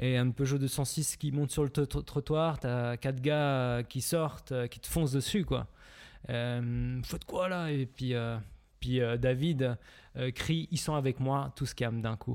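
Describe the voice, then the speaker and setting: Here a man speaks at a very slow pace, medium in pitch with fairly even intonation. The recording is very clean, with a silent background. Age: 20s. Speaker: film director, production company co-founder. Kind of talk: casual chat.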